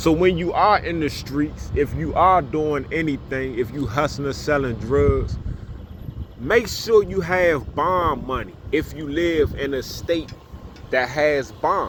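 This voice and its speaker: Over noticeable background noise, a man talks at a very slow pace with ordinary pitch variation. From Washington DC. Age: 40s. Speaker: YouTuber, former prisoner. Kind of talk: casual storytelling monologue. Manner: casual, repetitive with fillers.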